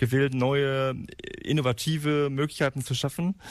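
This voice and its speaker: A man speaks in a monotone with flat intonation. His pace is moderate. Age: 30s. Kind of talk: interview. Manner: halting.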